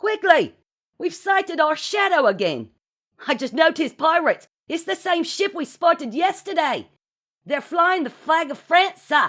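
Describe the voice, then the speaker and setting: This is a put-on character voice, whiny in tone and extremely high in pitch, moving at a moderate pace. The recording is very clean with a silent background. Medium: read story. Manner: dutiful, whiny.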